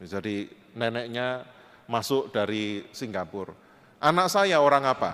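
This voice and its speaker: A man's normal speaking voice at medium pitch, with lively intonation and a fairly slow pace. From Indonesia, Java (Kediri area, East Java). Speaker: panel speaker at interfaith forum. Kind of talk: presentation with slides. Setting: church hall forum with audience.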